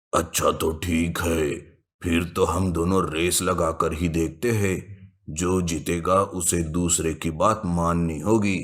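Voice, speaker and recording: A cartoonish male character voice, very deep and low, flat and monotone, at very even loudness and a fairly slow pace. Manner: self-important, domineering.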